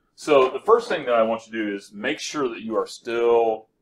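Moderate in pace, a man's speech shows ordinary pitch variation. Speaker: chemistry teacher. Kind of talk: lecture. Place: classroom.

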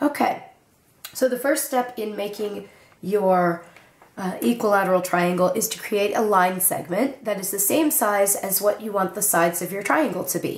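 A woman talks at a moderate pace with a medium pitch and ordinary pitch variation. Noticeable background noise is present. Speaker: origami tutorial creator. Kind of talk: tutorial. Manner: casual with filler words.

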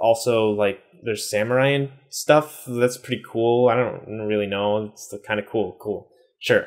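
A man with an American accent speaks over a quiet background. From US East Coast. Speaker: YouTuber, Japanese learner; language learning youtuber. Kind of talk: casual vlog talk to camera. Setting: home room in Japan. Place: home room.

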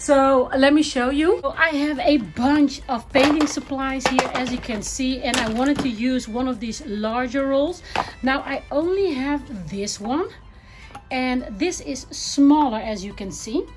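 Noticeable background noise sits behind a woman's voice. She speaks at a fairly slow pace with ordinary pitch variation. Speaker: home organizing vlogger. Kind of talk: casual vlog chat. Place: garage. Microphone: phone near.

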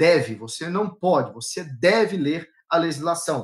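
A man speaks against a quiet background. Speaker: law exam-prep teacher. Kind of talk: live online lecture. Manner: fast. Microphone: video call.

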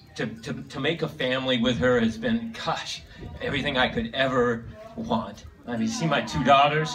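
A man at a fairly slow pace with ordinary pitch variation, faint music in the background. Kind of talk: speech. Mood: sentimental, heartfelt. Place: hall.

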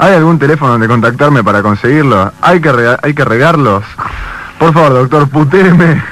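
In an ordinary speaking voice, a man talks at a fairly high pitch with ordinary pitch variation. The loudness stays very even, with a dry sound with no echo. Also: moderate pace. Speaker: radio host. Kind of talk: radio interview. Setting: studio. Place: studio.

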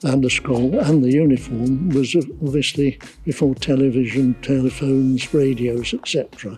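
A man speaks with faint music in the background. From England, Essex. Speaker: town crier. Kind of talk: interview answer. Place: street.

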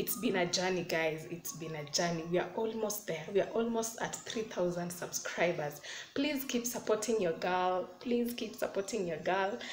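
A woman at a moderate pace with ordinary pitch variation and hardly any pauses, with light background noise and audible room echo. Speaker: vlogger. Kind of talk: casual vlog chat. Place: home room. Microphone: phone near.

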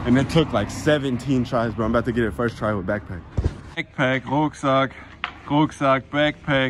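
With noticeable background noise behind it, the voice keeps a moderate pace and ordinary pitch variation. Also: man. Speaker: skateboarding vlogger. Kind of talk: casual vlog narration. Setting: outdoors. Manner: animated.

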